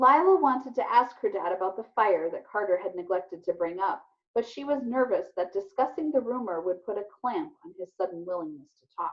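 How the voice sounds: A woman's medium-pitched voice with a slightly husky edge, lively intonation and a fairly quick pace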